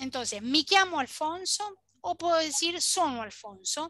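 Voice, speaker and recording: A woman speaks at a moderate pace in a raised, projected voice with a bright, sharp tone and very wide pitch swings. The sound is dry with no echo, and the background is quiet. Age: 40s. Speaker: Italian language teacher. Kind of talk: online language lesson. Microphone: webcam.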